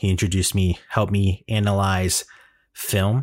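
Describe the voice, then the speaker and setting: The recording is very clean, with a silent background. A man with a plain, everyday voice talks in a fairly low pitch with fairly even intonation. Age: 20s. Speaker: podcast host. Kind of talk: solo casual monologue. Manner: casual, laughing.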